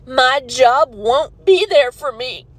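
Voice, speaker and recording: A woman's intonation is lively, set against noticeable background noise. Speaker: art teacher at a rural school. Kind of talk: emotional personal video rant. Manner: halting, emotional.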